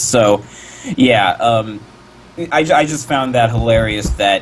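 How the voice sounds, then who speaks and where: Noticeable background noise sits behind this man's voice. His pitch is medium and his pace fairly slow. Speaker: fandom cartoonist. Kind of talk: casual chat. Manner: stuttering.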